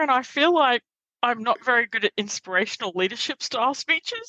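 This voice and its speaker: In an Australian accent, a woman speaks at a moderate pace in a fairly high pitch with lively intonation and a bright, sharp tone, the sound dry and close with no echo. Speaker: Toastmasters member and workshop presenter. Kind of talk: interview conversation. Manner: loud; animated.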